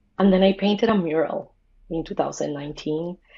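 A woman's dark, mellow tone, fairly low in pitch, with ordinary pitch variation. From Colombia. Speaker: lettering artist and muralist. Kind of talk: casual chat.

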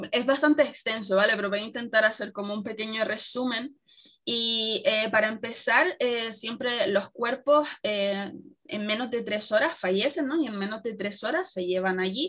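Ordinary pitch variation marks a woman's fairly high-pitched voice as she talks at a fairly slow pace. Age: 20s. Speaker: traveler. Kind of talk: casual interview.

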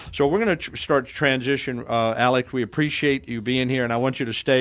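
A man with a medium pitch speaks at a very fast pace, leaving hardly any pauses. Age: 60s. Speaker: radio host. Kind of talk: radio talk show. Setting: radio studio.

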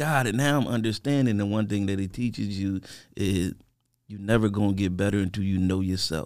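A man with an American accent speaks in a plain, everyday voice at a fairly low pitch and a fairly quick pace. His pitch varies in an ordinary way, and the recording is very clean with a silent background. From Harrisburg, Pennsylvania. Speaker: podcast guest. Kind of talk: casual chat.

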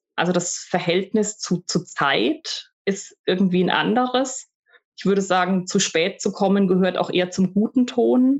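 Speaking fairly slowly, a woman holds a very even loudness at a medium pitch while her intonation stays lively. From Germany. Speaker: university staff, former German lecturer in Russia. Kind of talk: interview. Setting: home office recording.

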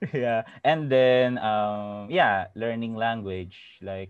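The man's voice is fairly low, with ordinary pitch variation. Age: 30s. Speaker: former office worker. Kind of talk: casual chat.

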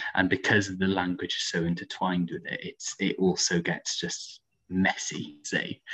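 A man with a Welsh accent at a fairly slow pace. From Wales, Aberystwyth. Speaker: student union coordinator. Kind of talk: podcast interview.

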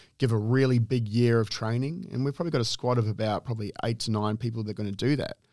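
A man speaks at a very fast pace and medium pitch with fairly even intonation. The recording is very clean, with a silent background. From New Zealand, raised in Perth. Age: 30s. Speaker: weightlifting coach and gym owner. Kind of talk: casual interview chat.

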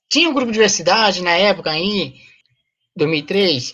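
A woman is speaking. Her pitch is medium. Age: 40s. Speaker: activist, association president. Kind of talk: interview.

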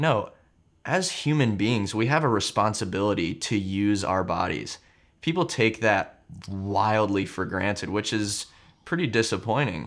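A man speaks in a normal speaking voice at a fairly low pitch, with lively intonation. The recording is very clean, with a silent background. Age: 20s. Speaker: content creator and mindset coach. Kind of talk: casual chat.

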